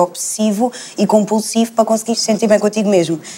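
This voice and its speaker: A woman's fairly even intonation comes through above noticeable background noise. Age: 20s. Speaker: psychology student. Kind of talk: panel discussion.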